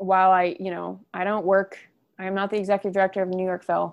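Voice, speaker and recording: A woman at medium pitch in a very clean recording with a silent background. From Oklahoma, US (Edmond). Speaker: orchestra education manager and bassoonist. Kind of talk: interview.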